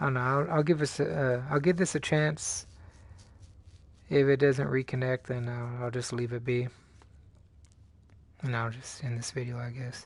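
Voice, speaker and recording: Pausing long and often, a man speaks in a somewhat breathy voice of medium pitch with fairly even intonation. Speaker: gaming YouTuber. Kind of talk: casual gameplay commentary. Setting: live gaming stream with headset. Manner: fast, breezing through words.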